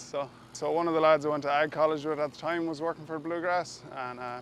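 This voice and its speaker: A man speaks with a western Irish accent at a fairly high pitch. His pace is fairly quick. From west of Ireland. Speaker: harvester driver. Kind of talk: interview.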